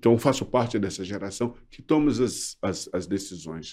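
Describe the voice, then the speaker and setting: This very clean recording with a silent background captures a man's dark, mellow tone at a fairly low pitch, delivered at a fairly slow pace with ordinary pitch variation. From Brazil. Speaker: former advertising model and social activist. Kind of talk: interview. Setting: studio. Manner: halting.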